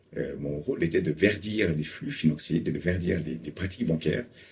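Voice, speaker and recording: This man's voice is very deep and low, and somewhat breathy. He talks at a moderate pace. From Paris, France. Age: 40s. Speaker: climate finance consultant. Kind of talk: interview monologue. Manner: hesitant with frequent fillers.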